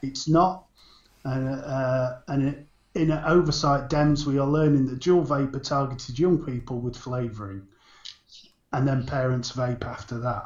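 A man with an unremarkable speaking voice talks at a fairly slow pace. His pitch is fairly high, and his intonation fairly even. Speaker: podcast co-host. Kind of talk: casual chat about vaping news.

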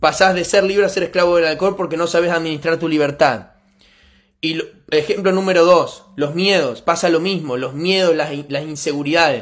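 A man speaks at a moderate pace with a Rioplatense accent. His voice is high-pitched and animated in tone. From Argentina. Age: 20s. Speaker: network marketing motivational speaker. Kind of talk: motivational talk.

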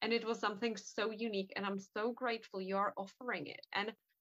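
Bright and sharp in tone, the voice carries a non-native accent. The sound is dry and close, without echo. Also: woman. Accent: noticeable non-native English. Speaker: hypnotherapist and podcast host. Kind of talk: podcast interview.

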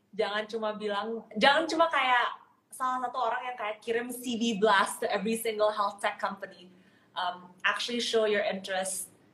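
A plain, everyday voice, pitch varying in an ordinary way, pace fairly quick. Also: woman, fairly high pitch for a woman. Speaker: podcast host. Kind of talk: casual chat. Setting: video call.

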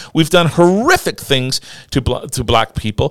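With a normal speaking voice, a man talks at a moderate pace, his pitch fairly high and his intonation lively. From Newfoundland, Canada. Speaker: radio show co-host. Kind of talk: casual chat.

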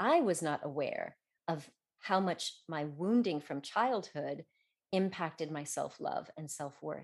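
In a normal speaking voice, a woman talks fairly slowly at a fairly low pitch with ordinary pitch variation against a quiet background. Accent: American. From Colorado, US. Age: 50s. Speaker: doctor and author. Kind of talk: interview.

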